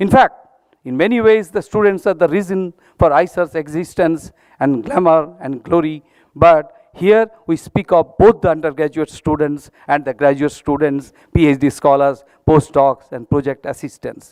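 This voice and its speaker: A man with a Bengali accent and a fairly high pitch, at a moderate pace, with ordinary pitch variation and a dry, close sound with no echo. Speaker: institute director. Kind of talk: formal speech. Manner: formal.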